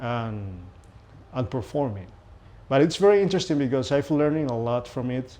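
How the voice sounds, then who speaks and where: This man talks at a moderate pace with a Venezuelan accent, his medium pitch showing ordinary variation. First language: Spanish. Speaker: pianist. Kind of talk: interview. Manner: halting, with fillers and repetitions.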